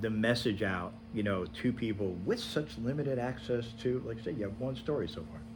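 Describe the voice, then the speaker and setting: A man with an American accent and vocal fry, in audible room echo. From upstate New York. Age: 60s. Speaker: local cable show host. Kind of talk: casual interview.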